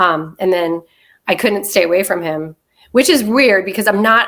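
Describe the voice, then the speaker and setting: With an unremarkable speaking voice, a woman talks at a fairly quick pace and medium pitch. Her intonation is lively. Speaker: political party committee member. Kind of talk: casual chat.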